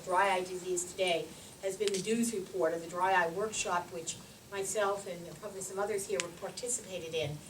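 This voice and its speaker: Over noticeable background noise and audible room echo, a woman with an American accent talks at a fairly quick pace with fairly even intonation. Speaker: ophthalmologist and dry eye researcher. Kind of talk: conference lecture. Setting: podium at conference meeting. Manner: loud; hesitant with frequent fillers.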